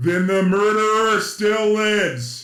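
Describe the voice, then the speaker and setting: A man's put-on character voice, high-pitched for a man, at a fairly slow pace with a slight echo. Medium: audio drama. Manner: formal, imperious, uses royal "us".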